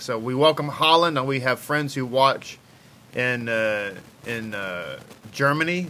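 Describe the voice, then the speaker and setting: With a Texas accent, a man speaks in a fairly high pitch. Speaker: rabbi and online Torah teacher. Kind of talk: live-streamed Torah study lesson. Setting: live video stream. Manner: casual, friendly, chatty.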